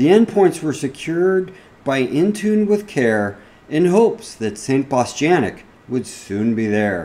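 A man's dark, mellow, playful tone at a very slow pace, with very wide pitch swings. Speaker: cybersecurity podcast host. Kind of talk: fireside reading of a Christmas parody poem. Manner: storytelling cadence, rhythmic and playful. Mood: playful, cozy storytelling.

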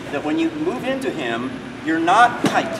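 A man talks at a moderate pace. Noticeable background noise runs behind him. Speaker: martial arts instructor. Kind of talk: teaching explanation during a seminar. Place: hall. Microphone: camera far.

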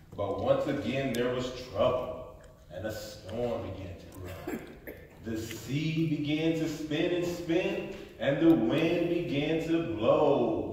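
Strong room echo and light background noise surround a man speaking very slowly with lively intonation. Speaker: storybook reader. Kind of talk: read-aloud storytelling. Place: hall. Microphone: phone near.

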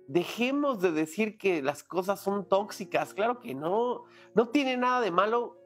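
A man speaking at a fairly slow pace, faint music in the background. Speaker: relationship advice vlogger. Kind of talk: motivational talk to camera. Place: home room.

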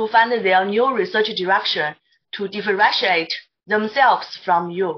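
This woman speaks at a fairly slow pace. She has a Mandarin accent. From China. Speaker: materials scientist, panelist; panelist. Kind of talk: Q&A questions. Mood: polite, formal. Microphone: video call.

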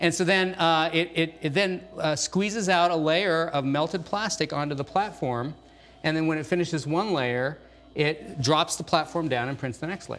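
A man talks at a moderate speed, his pitch varying in an ordinary way. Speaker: guest. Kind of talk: interview answer. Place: studio. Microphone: lapel.

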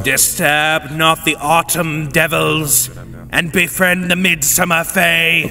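Doing a put-on character voice, a man speaks in a solemn tone at a fairly high pitch and fairly slow pace, with clear background noise behind him. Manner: ominous, solemn.

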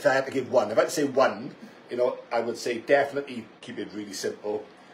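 A man speaks at a very fast pace. Light background noise is audible. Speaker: gym owner hosting a live chat. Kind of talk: casual conversation giving advice. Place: gym. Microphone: studio mic.

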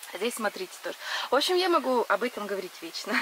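Noticeable background noise runs throughout. The sound itself is dry, with no echo. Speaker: gardening vlogger. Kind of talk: casual vlog chat. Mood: enthusiastic, laughing often. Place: garden. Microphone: phone near.

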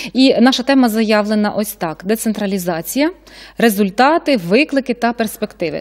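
Here a woman speaks at a moderate pace. Her intonation is lively. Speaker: TV host. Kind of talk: live TV talk show. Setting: studio. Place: studio. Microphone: studio mic.

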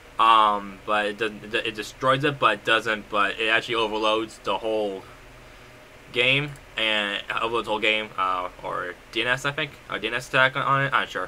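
The man's intonation stays fairly even, with noticeable background noise behind him. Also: medium pitch for a man, moderate pace. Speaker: Roblox game developer YouTuber. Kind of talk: tutorial. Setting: screen recording voiceover. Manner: halting, filler-heavy.

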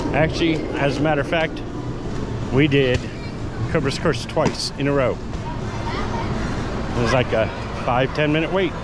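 Crowd noise fills the background as a man speaks at a moderate pace. The sound is dry with no echo, and he leaves long, frequent pauses. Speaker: theme park vlogger. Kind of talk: casual vlog chat. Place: street. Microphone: phone near.

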